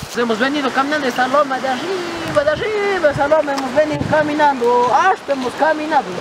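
A man talks at a moderate pace. The sound is dry with no echo, though background noise is noticeable. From Ecuador, rural highlands. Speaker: vlogger. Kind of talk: casual vlog narration. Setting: outdoors. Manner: animated. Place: open country.

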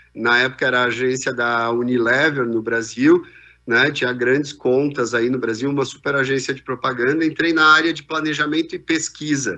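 A man's bright, sharp tone at a moderate pace, fairly even in intonation, with a quiet background. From southern Brazil, Rio Grande do Sul (Farroupilha); Rio Grande do Sul, Brazil. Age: 50s. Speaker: business executive; keynote speaker. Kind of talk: keynote talk. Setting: video call. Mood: relaxed storytelling. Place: hall.

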